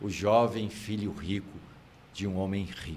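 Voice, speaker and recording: A man talks with a Minas Gerais accent. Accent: mineiro Brazilian Portuguese. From Minas Gerais countryside, Brazil. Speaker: theatre actor and comedian. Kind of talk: casual interview chat.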